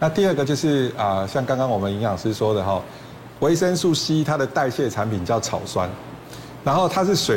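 Speaking fairly quickly, a man is heard through audible room echo and noticeable background noise. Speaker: emergency medicine professor. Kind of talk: TV talk show explanation.

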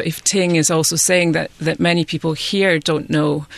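Against noticeable background noise, a woman with a Scottish accent talks at a moderate pace, fairly low in pitch with fairly even intonation. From west of Scotland. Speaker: freelance journalist. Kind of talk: panel discussion.

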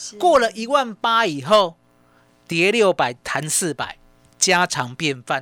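A man's high, raised and projected voice, bright and sharp in tone, with very wide pitch swings, a very slow pace and long, frequent pauses. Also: dry, close sound with no echo. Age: 50s. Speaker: stock market analyst. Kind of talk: radio market commentary.

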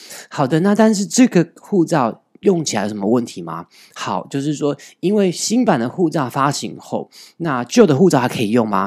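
A man speaks at a moderate pace with a fairly high pitch, vocal fry and very wide pitch swings, in a very clean recording with a silent background. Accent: Taiwanese. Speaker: podcast host. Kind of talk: news commentary podcast.

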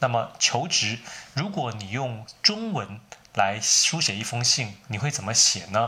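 Through noticeable background noise, a man with a Taiwanese accent talks at a fairly slow pace, his medium pitch showing ordinary variation. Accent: Taiwanese Mandarin. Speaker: writer teaching English. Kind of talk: solo tutorial talk.

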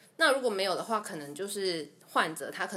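A woman's unremarkable speaking voice, medium-pitched, fairly quick, with lively intonation. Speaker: dental assistant. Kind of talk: casual interview chat.

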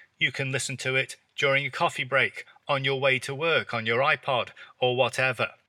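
A man with an English accent speaks at a fairly quick pace in a medium pitch. His tone is bright and sharp, with monotone, flat intonation, in a very clean recording with a silent background. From England. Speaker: English teacher. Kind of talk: tutorial. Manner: natural pace; clear.

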